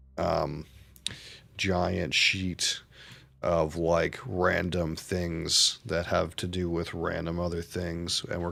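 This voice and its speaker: Mumbling in a very deep, low pitch, a man speaks with a bright, sharp tone and monotone, flat intonation. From Canada. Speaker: streamer. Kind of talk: live gameplay commentary. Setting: live stream.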